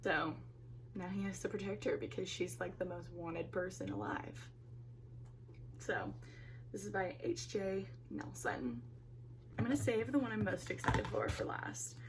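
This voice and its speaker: A woman speaks at a moderate pace with long, frequent pauses. Room echo is audible, and background noise is noticeable. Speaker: book YouTuber. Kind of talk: casual vlog chat. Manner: animated.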